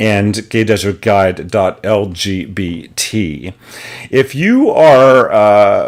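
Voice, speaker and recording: A man with a fairly low pitch speaks at a very slow pace. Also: ordinary pitch variation. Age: 50s. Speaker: online show host. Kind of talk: show announcements. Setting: home studio. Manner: hesitant fillers.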